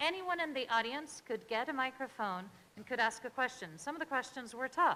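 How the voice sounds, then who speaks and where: Raising and projecting her voice, a woman speaks at a high pitch with a bright, sharp tone. Her intonation is lively and her pace moderate. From France. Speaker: researcher. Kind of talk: panel talk.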